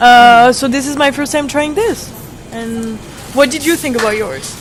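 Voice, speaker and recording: With music in the background, a woman talks at a moderate pace and a high pitch, her pitch varying in an ordinary way. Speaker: podcast host, traveler. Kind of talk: casual chat. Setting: convenience store. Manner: laid back.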